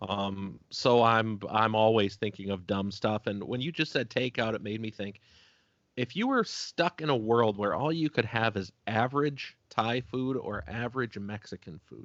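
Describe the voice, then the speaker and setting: A man with an ordinary speaking voice talks at a medium pitch and a moderate pace. His pitch varies in an ordinary way. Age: 30s. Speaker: podcast host. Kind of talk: casual chat.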